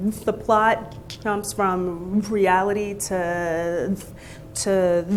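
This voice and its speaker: A woman speaks at a very slow pace. Noticeable noise sits in the background. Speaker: conference speaker. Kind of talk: conference talk. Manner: stutters.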